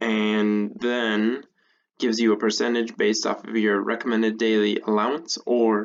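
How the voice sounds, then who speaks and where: Soft-spoken, a man talks at a medium pitch with monotone, flat intonation. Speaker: tech tutorial creator. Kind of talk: tutorial. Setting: at home. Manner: casual.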